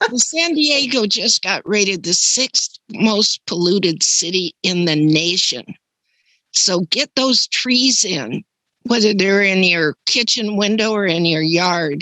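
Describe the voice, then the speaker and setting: A woman speaks at a very slow pace and a medium pitch, with lively intonation and very even loudness. Her tone is bright and sharp, and the sound is dry and close with no echo. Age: 80s+. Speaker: webinar attendee. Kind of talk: casual chat. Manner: animated.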